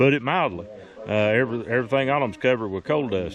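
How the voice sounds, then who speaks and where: A man with a Tennessee accent talks at a fairly quick pace and medium pitch. Noticeable background noise runs underneath. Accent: Southern, Tennessee. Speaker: history video host and ham radio operator. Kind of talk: casual narration and ham radio contact. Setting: outdoors, portable radio at campsite. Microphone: good signal.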